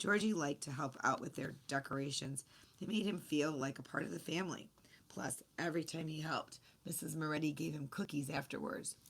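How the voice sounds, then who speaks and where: A raspy, put-on character voice at a fairly quick pace. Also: woman, very deep, low pitch for a woman. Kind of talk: children's story reading. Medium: read story.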